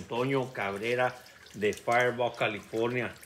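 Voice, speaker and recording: A man talks at a fairly slow pace. There is light background noise. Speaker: interviewer filming. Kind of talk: interview questions and promo chat. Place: garden. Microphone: phone near.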